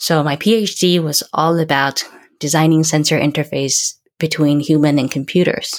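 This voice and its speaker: A woman speaks at a fairly slow pace with a very deep, low pitch and fairly even intonation. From Taiwan. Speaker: startup founder and CEO. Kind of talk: interview. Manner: hesitant, many fillers.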